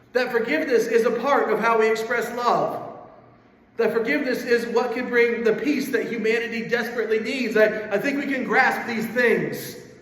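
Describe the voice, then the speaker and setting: Amid noticeable background noise and audible room echo, a man with an extremely high pitch talks at a moderate pace in a monotone, flat intonation. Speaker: pastor. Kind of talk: sermon.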